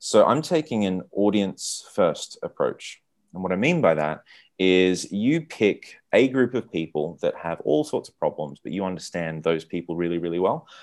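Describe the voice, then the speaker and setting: Someone with an Australian accent speaks at a moderate pace with big swings in loudness, on a very clean recording with a silent background. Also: man. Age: 30s. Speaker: entrepreneur. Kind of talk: casual interview. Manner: halting, many repeated words.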